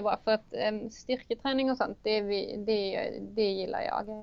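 A woman talks at a fairly slow pace with a fairly high pitch. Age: 30s. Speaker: engineering student. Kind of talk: interview. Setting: studio. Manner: halting.

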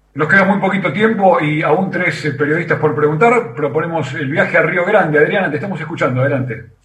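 A man talks at a fairly quick pace in a fairly high voice, with hardly any pauses and ordinary pitch variation. Audible room echo surrounds his speech. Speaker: radio host. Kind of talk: radio hosting. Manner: formal.

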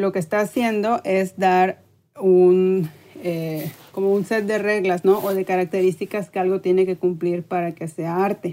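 Her voice is dark and mellow, a woman at medium pitch with a monotone, flat intonation. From Mexico, Tampico, Tamaulipas. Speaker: art educator. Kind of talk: casual interview.

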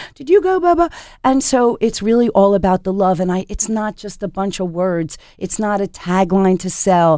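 A woman with an ordinary speaking voice speaks in an American accent at medium pitch and a moderate pace with ordinary pitch variation, on a very clean recording with a silent background. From US Northeast, Philadelphia. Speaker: chef and restaurant owner. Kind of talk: interview. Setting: studio.

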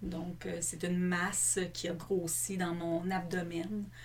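With audible room echo, a woman speaks at a fairly low pitch in monotone, flat intonation. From Quebec, Longueuil (Montreal south shore). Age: 40s. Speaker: businesswoman, illness survivor. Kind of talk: personal testimony in interview.

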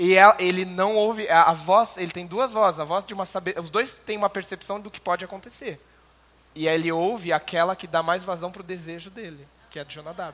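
Big swings in loudness run through a man's high-pitched voice as he speaks fairly quickly with fairly even intonation. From interior of São Paulo state, Brazil. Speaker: Bible teacher. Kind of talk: church Bible lecture.

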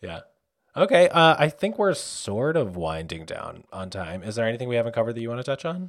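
On a very clean recording with a silent background, a man at medium pitch talks at a fairly quick pace, with very wide pitch swings and big swings in loudness. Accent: American. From New York. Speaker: podcast host. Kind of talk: casual interview chat. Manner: animated.

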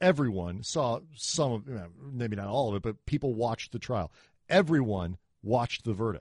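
At a moderate pace and medium pitch, a man talks in an ordinary speaking voice. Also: lively intonation, quiet background. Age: 40s. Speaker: sports podcast host. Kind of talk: casual chat.

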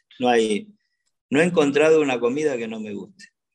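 This man has a medium pitch. His pitch varies in an ordinary way. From Argentina, Buenos Aires province. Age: 60s. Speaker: ambassador and politician. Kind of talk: radio interview. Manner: halting, many fillers and repetitions.

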